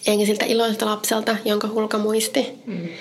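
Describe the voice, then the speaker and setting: Monotone, flat delivery from a woman at a fairly high pitch and medium speed. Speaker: podcast co-host. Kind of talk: true crime storytelling chat.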